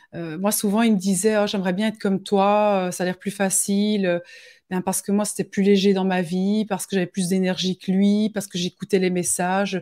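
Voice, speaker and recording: On a very clean recording with a silent background, a woman of medium pitch speaks at a moderate pace in a dark, mellow tone with monotone, flat intonation. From Belgium. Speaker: medium and spiritual guide. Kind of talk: live interview.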